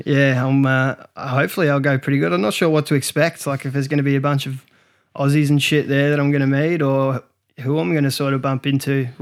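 A man at a very fast pace, on a very clean recording over a silent background. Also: fairly high pitch for a man. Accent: Australian. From Australia. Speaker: podcast co-host. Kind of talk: casual chat. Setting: studio.

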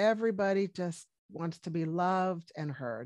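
Speaking in an American accent, a woman has a fairly low voice with ordinary pitch variation. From US, Washington D.C. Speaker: medical doctor. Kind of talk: interview.

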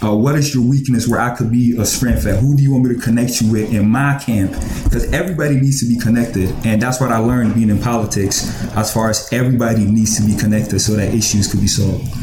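Noticeable background noise sits behind a man speaking at a very fast pace. His voice is medium in pitch, with very even loudness. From Ghana, raised in Columbus, Ohio. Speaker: community organizer. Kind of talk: interview conversation. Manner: passionate, animated.

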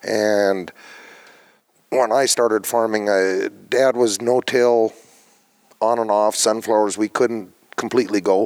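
This man has an Upper Midwest accent and a monotone, flat intonation. His pace is fairly slow and his loudness very even. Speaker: farmer. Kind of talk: interview.

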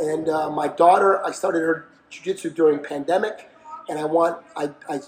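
A man speaks with a fairly high voice. Noticeable background noise runs behind him. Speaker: boxing trainer. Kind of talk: casual chat.

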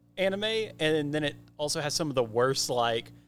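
Over music in the background, a man with an American accent talks with lively intonation. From rural Oklahoma. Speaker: escape room game designer. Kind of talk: casual chat.

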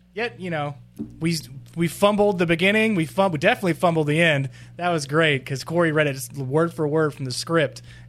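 Music plays in the background as a man talks at a fairly quick pace. His pitch is fairly high, with ordinary variation. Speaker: podcast co-host. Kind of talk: casual chat. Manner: animated, does impressions.

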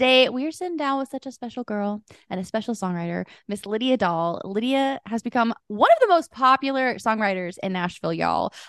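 A woman with an unremarkable speaking voice talks at a fairly quick pace, her fairly high pitch moving in lively intonation with big swings in loudness, on a dry, close sound with no echo. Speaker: podcast host. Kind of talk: casual interview chat.

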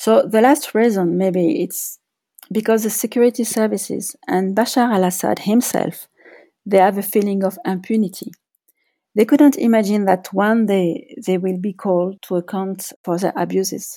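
A woman with a French accent speaks in a dark, mellow tone. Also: medium pitch for a woman, ordinary pitch variation, moderate pace. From France. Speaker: journalist and author. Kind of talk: interview. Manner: hesitant, with fillers.

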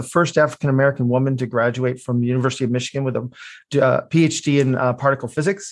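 Against a quiet background, a man with a medium-pitched voice talks very fast with fairly even intonation. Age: 50s. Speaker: product development consultant and engineer. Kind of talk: interview. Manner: halting, many fillers.

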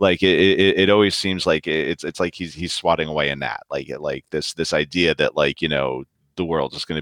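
A man's voice with vocal fry and a New York accent, at a moderate pace with ordinary pitch variation, in a dry, close sound with no echo. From New York City. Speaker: novelist. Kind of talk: casual chat. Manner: halting.

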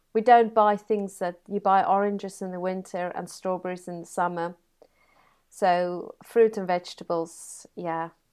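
A woman's medium-pitched voice with a South African accent, fairly slow and monotone, with big swings in loudness over a quiet background. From South Africa (Free State). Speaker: computer science teacher. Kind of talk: interview.

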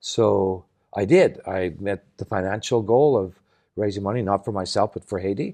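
Man with a Canadian accent, fairly low pitch, dark, mellow tone, moderate pace and ordinary pitch variation, against a quiet background. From Canada, Saskatchewan. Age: 60s. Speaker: nonprofit founder and sailor. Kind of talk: interview conversation. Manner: halting, many false starts.

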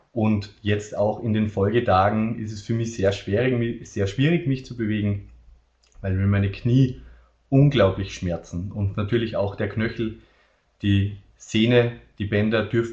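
A man talks at a fairly slow pace with long, frequent pauses. His voice is fairly low and somewhat breathy. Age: 20s. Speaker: biochemist and medical science consultant. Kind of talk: webinar presentation.

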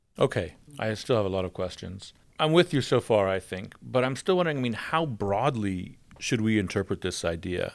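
With an American accent and a normal speaking voice, a man talks at a fairly quick pace in a fairly low pitch with lively intonation. The recording is very clean with a silent background. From United States. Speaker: academic podcast host. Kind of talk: podcast discussion.

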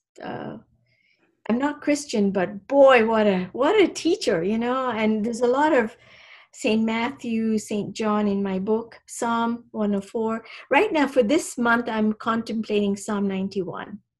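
Very slow in pace, a woman speaks at a fairly high pitch and sounds somewhat breathy. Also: ordinary pitch variation. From Kenya, Indian community. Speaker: medical doctor and author. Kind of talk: interview.

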